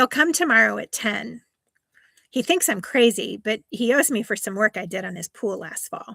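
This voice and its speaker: Raspy and delivered in a put-on character voice, the speech moves at a moderate pace in a dry, close sound with no echo. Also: woman, fairly high pitch for a woman. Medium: read story. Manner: casual, dry, laconic.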